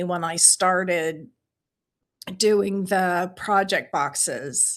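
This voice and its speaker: A woman speaks with fairly even intonation. The recording is very clean, and the background is silent. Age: 60s. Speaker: beading teacher and small business owner. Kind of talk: solo podcast talk answering questions. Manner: conversational with fillers.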